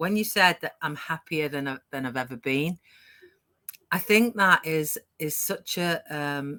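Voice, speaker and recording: Her tone bright and sharp, a woman with a British accent speaks in a dry, close sound with no echo. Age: 60s. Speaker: online business owner, live show host. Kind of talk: casual chat. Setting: live stream. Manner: animated.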